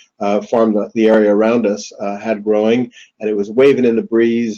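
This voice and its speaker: A man speaks in a New York accent at a medium pitch. His tone is dark and mellow, and his pace is moderate. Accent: New York American. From US, New York City. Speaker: whisky distillery founder. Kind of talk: webinar talk. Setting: online webinar. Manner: halting, many fillers.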